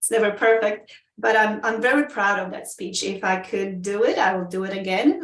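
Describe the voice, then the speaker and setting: A woman with a Polish accent speaks at a medium pitch and a moderate pace. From Poland. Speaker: Toastmasters club member. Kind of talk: interview. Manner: halting, many fillers.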